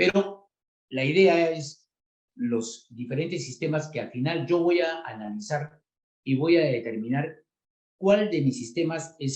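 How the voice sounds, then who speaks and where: This man talks at a fairly slow pace, his fairly high voice carrying lively intonation. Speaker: refrigeration engineer and instructor. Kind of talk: technical lecture. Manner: many filler words and hesitations.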